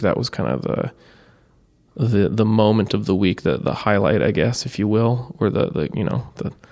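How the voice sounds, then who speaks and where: A loud man's voice, fairly low in pitch, with vocal fry and a moderate pace. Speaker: podcaster, open mic performer. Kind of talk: casual monologue. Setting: library room. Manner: loud by habit, talking softer now.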